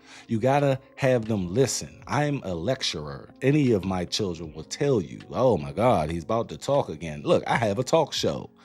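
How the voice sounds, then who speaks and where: Over background music, a man with an American accent and a fairly low pitch talks at a moderate pace in an animated tone, his pitch swinging very widely and hardly any pauses breaking his speech. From US, Washington D.C. (Northeast). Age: 40s. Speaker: parenting podcast host. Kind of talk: casual monologue.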